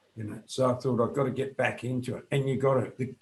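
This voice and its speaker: A man speaks in a somewhat breathy voice. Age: 60s. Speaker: fitness coach. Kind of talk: interview.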